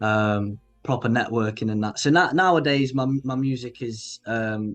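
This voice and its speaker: Fairly even intonation in a northern English accent, with music in the background. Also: man. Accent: regional northern English. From northern England, Grimsby, Lincolnshire. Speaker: indie pop musician. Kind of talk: casual interview chat. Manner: halting, many fillers and restarts.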